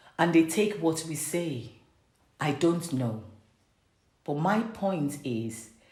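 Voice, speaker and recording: Somewhat breathy and very deep in pitch, a woman talks at a very slow pace with lively intonation and long, frequent pauses. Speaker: parent and faith-based vlogger. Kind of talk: reflective sermon-style talk to camera.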